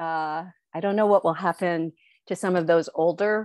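A woman's medium-pitched voice with fairly even intonation, dry with no echo, over a quiet background. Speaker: history professor. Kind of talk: presentation. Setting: video call. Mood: warm, smiling. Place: home room. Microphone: earbuds.

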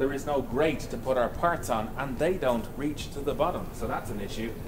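A man with ordinary pitch variation talks at a fairly quick pace, noticeable background noise behind him. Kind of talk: narrated build vlog. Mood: wry, humorous. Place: workshop.

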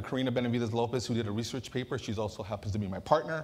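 A man speaks at a very fast pace with an American accent. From Southern California, Santa Ana; California. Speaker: community advocate; panel moderator, presenter. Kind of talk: conference moderation. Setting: stage with audience. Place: hall. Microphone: lapel.

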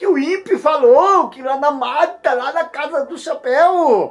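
Faint music plays in the background as a man with a high-pitched voice speaks at a very slow pace. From Brazil. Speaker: YouTuber. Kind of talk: comedic rant. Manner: animated. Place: home room. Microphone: phone near.

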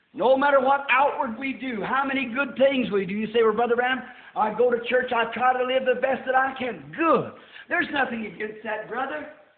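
At a fairly quick pace, a man with an American accent and an extremely high pitch keeps fairly even intonation, with audible room echo. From United States. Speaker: preacher. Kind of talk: sermon. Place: church.

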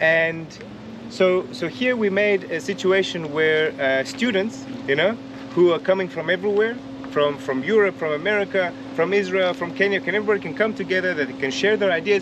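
A man talks at a high pitch with lively intonation. The sound is dry with no echo, and background noise is noticeable. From South Africa. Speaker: environmental project coordinator. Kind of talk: interview during site tour. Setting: outdoor demonstration site. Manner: halting, with many repetitions and fillers. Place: open country. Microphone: camera far.

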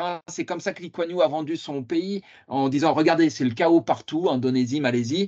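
In quiet surroundings, a man is talking. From France, Lyon area; France. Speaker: political science researcher; conference lecturer. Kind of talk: lecture. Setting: video call. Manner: halting. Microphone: video call.

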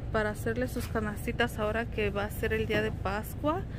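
Over noticeable background noise, a woman talks at a moderate pace in a dry sound with no echo. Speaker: homemaker vlogger. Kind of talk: casual vlog chat. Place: shop. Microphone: phone near.

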